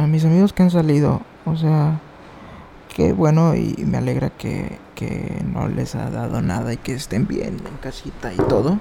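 A man with a Mexican accent speaks at a fairly slow pace, his pitch fairly high. His intonation is lively, and there is noticeable background noise. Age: 20s. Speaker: podcaster. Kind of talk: casual monologue.

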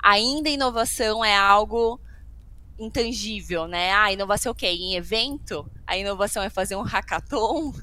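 This woman's tone is bright and sharp. Her intonation rises and falls in an ordinary way. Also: medium pitch for a woman, moderate pace. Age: 30s. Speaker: healthcare innovation executive. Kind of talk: casual interview.

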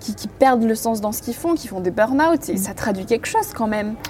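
Over noticeable background noise, a woman talks at a fairly quick pace and fairly high pitch with lively intonation. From rural France. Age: 20s. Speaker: podcaster. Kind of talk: casual chat. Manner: animated.

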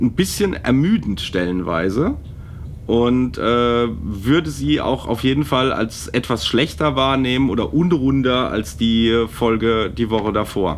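Through noticeable background noise, a man speaks at a medium pitch and a fairly slow pace with very wide pitch swings. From Palatinate, Germany. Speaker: podcast co-host. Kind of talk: casual chat.

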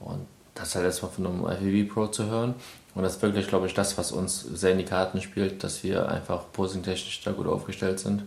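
Very deep, low male voice at a moderate pace, flat and monotone, with noticeable background noise. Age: 20s. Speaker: bodybuilder and podcast host. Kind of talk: casual chat.

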